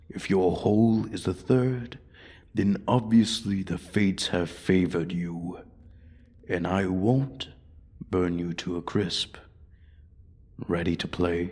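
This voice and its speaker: Using a put-on character voice, a man speaks with very deep, low pitch at a fairly slow pace, leaving long, frequent pauses. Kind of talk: ASMR roleplay audio. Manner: menacing, taunting.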